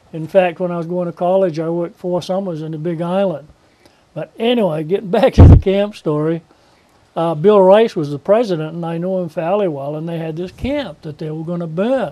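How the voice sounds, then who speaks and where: The speaker moves at a fairly quick pace, with big swings in loudness, ordinary pitch variation and noticeable background noise. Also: man, high pitch for a man. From Maine, western mountains. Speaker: local old-timer interviewee. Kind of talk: interview, reminiscing. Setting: TV program.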